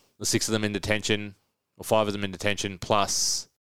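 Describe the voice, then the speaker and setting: With an Australian accent, a man rattles along at a very fast pace in a fairly low pitch and monotone, flat intonation. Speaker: podcast host. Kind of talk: casual chat.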